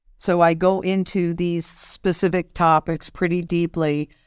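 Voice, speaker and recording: A woman with an American accent speaks fairly slowly in a plain, everyday voice, pitched fairly low. The sound is dry and close with no echo, on a very clean recording with a silent background. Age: 60s. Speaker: market analyst. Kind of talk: interview.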